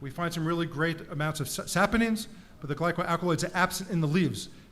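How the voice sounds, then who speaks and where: A man with a New York accent talks very fast in a high voice, his pitch varying in an ordinary way. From US, New York (Bronx). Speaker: professor. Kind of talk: conference talk.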